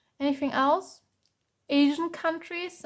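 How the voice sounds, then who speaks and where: A woman with a German accent speaks with fairly even intonation on a very clean recording with a silent background. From Germany. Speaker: tarot reader. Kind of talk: tarot reading. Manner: halting, many fillers.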